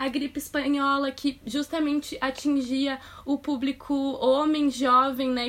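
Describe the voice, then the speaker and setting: A woman talks at a fairly slow pace with a high-pitched voice. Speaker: astrologer, podcast host. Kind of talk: casual chat.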